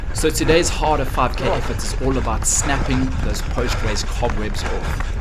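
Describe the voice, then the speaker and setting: At a moderate pace, a man talks while noticeable background noise runs behind him. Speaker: running vlogger and coach. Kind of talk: voiceover narration of race footage. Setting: outdoors. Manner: energetic.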